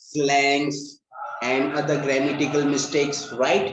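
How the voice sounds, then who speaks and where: A man's voice carries audible room echo, with noticeable background noise underneath. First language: Hindi. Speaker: English learning channel host. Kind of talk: casual interview.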